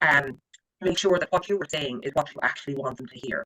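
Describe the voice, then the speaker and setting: A man with an Irish accent at a very fast pace, in a dry, close sound with no echo. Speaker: credit management trainer. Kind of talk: training lecture. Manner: animated.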